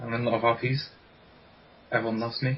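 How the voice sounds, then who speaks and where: Over noticeable background noise, a man with an English accent speaks at a fairly quick pace. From England. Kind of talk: casual podcast chat.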